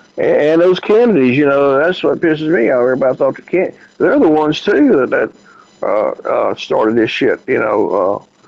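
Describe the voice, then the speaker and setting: A man speaks with a Southern US accent, his loudness very even throughout. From US South, Memphis. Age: 60s. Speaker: radio host. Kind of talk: casual chat. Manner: halting.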